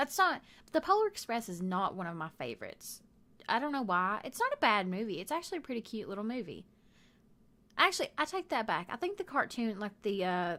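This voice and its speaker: A woman's fairly high voice in a Southern US accent, fairly quick, with very wide pitch swings, on a very clean recording with a silent background. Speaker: gaming youtuber. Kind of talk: casual chat over gameplay. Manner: rambling, halting with fillers.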